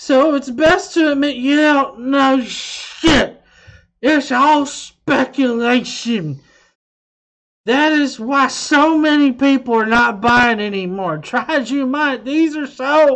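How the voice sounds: A put-on character voice, high-pitched and raised to project. It moves at a fairly slow pace.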